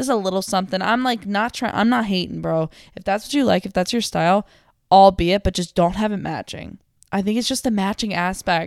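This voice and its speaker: Talking at a fairly quick pace, the woman has a medium pitch and ordinary pitch variation. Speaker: solo podcaster. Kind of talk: casual monologue. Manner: fast; mumbling.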